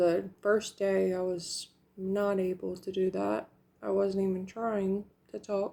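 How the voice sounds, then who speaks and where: At a very slow pace, a woman speaks in a medium pitch with a dark, mellow tone and monotone, flat intonation. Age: 30s. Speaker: vlogger sharing denture journey. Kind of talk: casual vlog talk.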